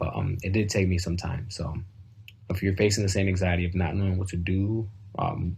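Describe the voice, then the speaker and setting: This man's very deep, low voice is somewhat breathy and moves at a fairly quick pace. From US Midwest, Southwest Detroit. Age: 20s. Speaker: graduating student speaker. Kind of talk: graduation speech. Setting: home video call. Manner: hesitant, many filler words.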